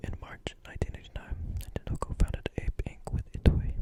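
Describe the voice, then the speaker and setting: Someone is whispering. The pace is fairly quick. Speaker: ASMR content creator. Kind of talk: whispered reading aloud, close-up ASMR. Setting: close-mic recording with a desktop condenser microphone.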